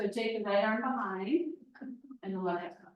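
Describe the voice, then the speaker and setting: A woman's medium-pitched voice at a moderate pace, with very wide pitch swings and audible room echo. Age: 60s. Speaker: yoga teacher. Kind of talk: guided yoga class instruction.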